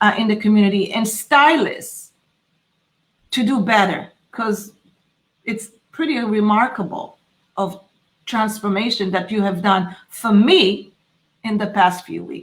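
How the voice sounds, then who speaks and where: A woman with a non-native accent speaks at fairly high pitch, with ordinary pitch variation and a somewhat breathy voice. Long pauses come often. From Israel. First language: Hebrew. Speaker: podcast host. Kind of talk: interview. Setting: live stream. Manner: halting.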